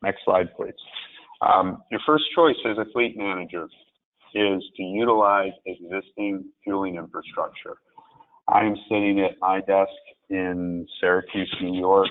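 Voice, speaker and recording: A man's plain, everyday voice, fairly low in pitch, fairly even in intonation and fairly slow in pace. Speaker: alternative fuels expert presenter. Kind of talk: webinar presentation. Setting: webinar from desk.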